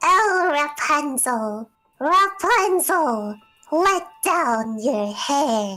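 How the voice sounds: A woman puts on a high-pitched character voice with very wide pitch swings. She speaks at a very slow pace over faint music in the background.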